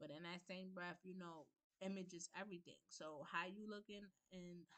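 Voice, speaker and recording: Her pitch is fairly low for a woman. She keeps a moderate pace and fairly even intonation. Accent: New York. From New York, the Bronx. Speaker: livestream host. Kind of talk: personal talk and testimony on a livestream. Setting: livestream on Zoom.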